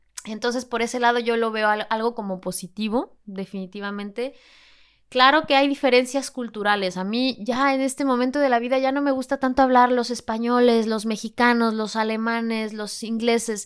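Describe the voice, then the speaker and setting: In a very clean recording with a silent background, a woman with an unremarkable speaking voice talks at a moderate pace, her fairly high pitch following a fairly even intonation. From Mexico City. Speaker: flamenco dancer. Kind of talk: interview.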